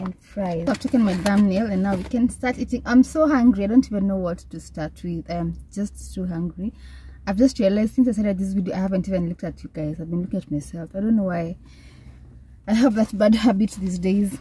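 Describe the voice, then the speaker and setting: A woman at a fairly quick pace, somewhat breathy, with a dark, mellow tone, ordinary pitch variation, big swings in loudness and a dry sound with no echo. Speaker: vlogger. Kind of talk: casual vlog chat. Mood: cheerful, relaxed. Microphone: phone near.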